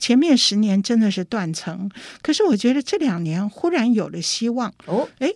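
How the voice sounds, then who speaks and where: Against a silent background in a very clean recording, a woman speaks at a moderate pace and fairly high pitch, with very wide pitch swings. The sound is dry and close, with no echo. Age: 60s. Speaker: opera playwright and artistic director. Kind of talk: interview. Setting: studio.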